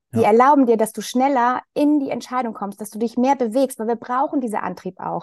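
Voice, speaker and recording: Speaking at a fairly quick pace with hardly any pauses, a woman has a high voice with ordinary pitch variation. The sound is dry and close with no echo, against a quiet background. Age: 40s. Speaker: sales coach. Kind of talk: casual chat.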